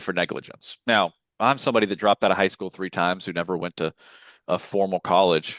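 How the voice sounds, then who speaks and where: A man's very deep, low voice in an Arkansas accent, at a fairly quick pace, with a dry, close sound, no echo, and a quiet background. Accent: Southern, Arkansas. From US South, Lower Arkansas. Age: 30s. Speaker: insurance sales leader. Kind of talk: podcast interview.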